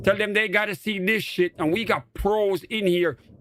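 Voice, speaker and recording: High-pitched, animated male voice with a Jamaican accent. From Jamaica, Portmore. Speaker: gaming streamer. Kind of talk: live stream commentary.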